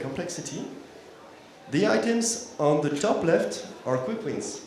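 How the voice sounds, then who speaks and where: A man with a French accent talks at a fairly slow pace with very wide pitch swings, amid noticeable background noise and audible room echo. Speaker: consultancy founder. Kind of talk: conference talk. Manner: halting.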